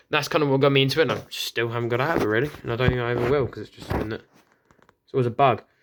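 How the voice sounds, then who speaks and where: The speaker is a man. He has a British accent. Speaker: RC car hobbyist youtuber. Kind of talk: product review. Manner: fast.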